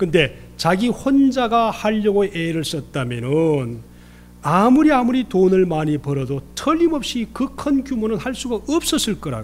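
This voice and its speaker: Speaking at a fairly slow pace with a Gyeongsang accent, a man with a high voice swings very widely in pitch. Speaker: pastor. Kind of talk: sermon.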